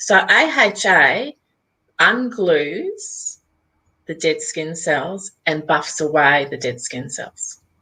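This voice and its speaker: Speaking at a very slow pace, a woman has an Australian accent. Her loudness swings widely. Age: 60s. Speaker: skincare company founder. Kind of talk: interview. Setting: live video interview.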